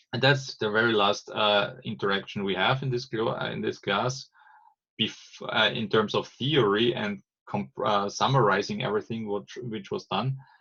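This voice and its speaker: A man with a German accent speaks at a moderate pace and a fairly low pitch. His tone is bright and sharp, with ordinary pitch variation. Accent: non-native English, German-accented. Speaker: agile trainer. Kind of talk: explanatory monologue. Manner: halting, many false starts.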